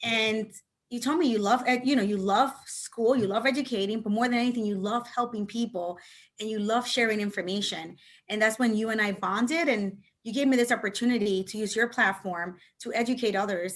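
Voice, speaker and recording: A woman's fairly high-pitched voice with a Spanish accent, fairly even intonation and a fairly quick pace. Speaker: real estate agent and instructor. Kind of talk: interview.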